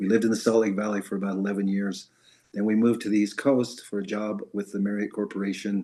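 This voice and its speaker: This man talks at a very fast pace in a fairly low voice with an American accent. His intonation is monotone and flat. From US West, Idaho (Malad). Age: 70s. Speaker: retired church member sharing faith story. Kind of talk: testimony. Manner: halting, many fillers.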